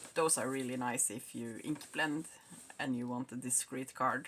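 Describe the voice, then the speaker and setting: This woman has a very deep, low pitch and speaks with a Norwegian accent. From Norway. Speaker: craft hobbyist. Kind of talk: unboxing video. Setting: home craft room.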